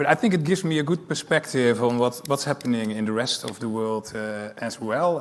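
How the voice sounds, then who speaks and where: A man with a Dutch accent, medium-pitched, at a moderate pace with ordinary pitch variation. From Netherlands. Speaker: airport executive. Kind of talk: panel discussion.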